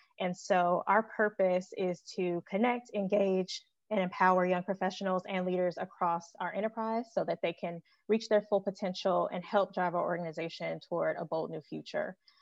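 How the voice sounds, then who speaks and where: Here a woman uses an unremarkable speaking voice at medium pitch and a moderate pace, with fairly even intonation. The sound is dry and close with no echo over a quiet background. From Chicago. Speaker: healthcare administrator. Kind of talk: podcast panel discussion.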